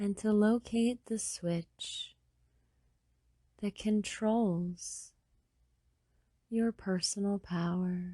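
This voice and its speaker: Very slowly and with long, frequent pauses, a woman speaks at a medium pitch in a dark, mellow, somewhat breathy tone with fairly even intonation. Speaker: hypnotherapist. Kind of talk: sleep hypnosis. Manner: slow, soft-spoken.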